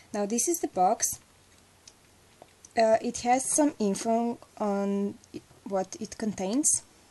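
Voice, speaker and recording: A woman with a fairly high pitch, a dark, mellow tone and a non-native accent, lively intonation, a very slow pace and long, frequent pauses. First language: not English. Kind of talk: casual talk to camera.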